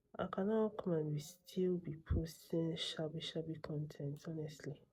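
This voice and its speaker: A woman speaks quietly at a fairly slow pace, her dark, mellow tone somewhat breathy. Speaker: vlogger. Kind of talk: casual vlog talk. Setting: at home late at night; salon studio. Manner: quiet, keeping voice down.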